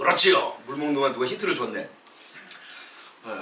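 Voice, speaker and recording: A man speaks in a raised, projected voice. Noticeable background noise and audible room echo surround him. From South Korea. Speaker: pastor. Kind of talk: sermon. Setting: church with congregation. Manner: conversational, engages congregation with questions.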